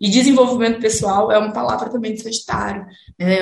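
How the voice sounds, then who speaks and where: Medium pitch from a female speaker, with audible room echo around her. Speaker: astrologer, podcast co-host. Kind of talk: casual chat.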